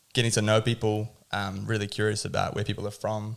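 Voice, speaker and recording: A man with a New Zealand accent speaks fairly quickly in a fairly low, monotone, flat voice with vocal fry, on a very clean recording with a silent background. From New Zealand (Tauranga), Dutch-born. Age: 20s. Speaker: cafe owner and barista. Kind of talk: casual podcast interview.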